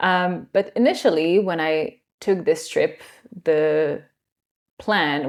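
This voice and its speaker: With a slight French accent, a woman speaks at a fairly low pitch with ordinary pitch variation. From France. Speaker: yoga teacher. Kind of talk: interview.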